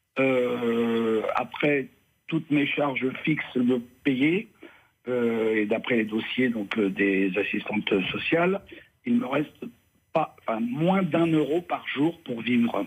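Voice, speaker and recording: A man at a medium pitch, very slow and with long, frequent pauses, his loudness very even and his intonation lively. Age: 60s. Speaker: caller. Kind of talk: radio call-in question. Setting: phone call. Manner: halting.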